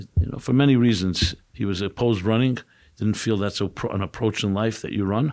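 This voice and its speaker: A man with a New York accent speaks at a fairly quick pace, his fairly low pitch moving with ordinary variation. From New York, Brooklyn (Crown Heights). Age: 60s. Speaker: rabbi and author. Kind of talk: podcast interview.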